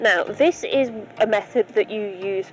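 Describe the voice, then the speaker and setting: A woman's voice comes through dry, with no echo. Light background noise can be heard. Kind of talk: tutorial. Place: open country. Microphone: phone near.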